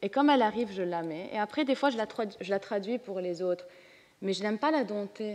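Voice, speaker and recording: A woman's normal speaking voice, medium in pitch, with ordinary pitch variation. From Lebanon. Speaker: comics artist. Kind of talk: panel discussion.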